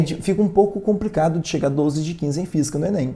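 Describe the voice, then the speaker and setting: A man with a fairly high pitch speaks in a dark, mellow tone with lively intonation. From rural Minas Gerais, Brazil (near Bom Despacho). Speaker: physics teacher. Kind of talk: online live lesson. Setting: livestream. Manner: casual, conversational.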